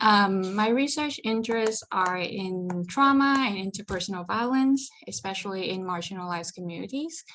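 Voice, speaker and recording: A woman speaks with lively intonation in a slight Vietnamese accent. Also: medium pitch for a woman, moderate pace. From Vietnam, Ho Chi Minh City. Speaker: psychology PhD student. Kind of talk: presentation.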